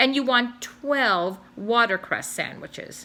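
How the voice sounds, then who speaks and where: A woman puts on a character voice with a high pitch. Her pace is fairly slow. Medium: read story. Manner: formal, polite.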